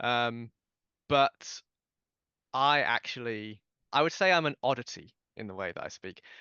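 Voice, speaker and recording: In a British accent, the speaker goes at a fairly slow pace with long, frequent pauses. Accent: received pronunciation British. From southern England, Dorset. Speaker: podcast guest. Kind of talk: interview. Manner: halting, repeats words.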